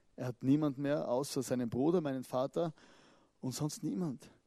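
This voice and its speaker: An animated man with a fairly high pitch and lively intonation speaks at a moderate pace, the sound dry and close with no echo. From Austria, southern Styria. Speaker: pastor. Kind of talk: sermon. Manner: animated, conversational; halting, repeats words.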